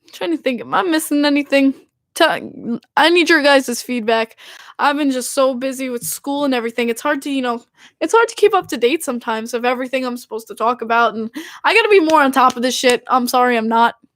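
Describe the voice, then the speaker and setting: A woman talks at a very fast pace in a high pitch with an animated tone. The recording is very clean with a silent background and a dry, close sound with no echo. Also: ordinary pitch variation. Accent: Long Island. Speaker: hockey podcast host. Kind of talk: casual chat.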